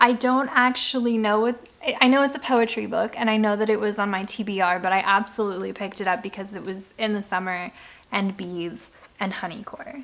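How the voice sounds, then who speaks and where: Fairly high in pitch, a woman talks at a fairly quick pace. Her tone is animated, with ordinary pitch variation. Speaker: book reviewer. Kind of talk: casual chat. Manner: fast.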